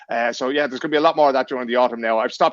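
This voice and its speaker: The speaker talks with a Dublin accent. The pace is very fast. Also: man. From Ireland, Dublin. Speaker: journalist and podcaster. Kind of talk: casual podcast chat.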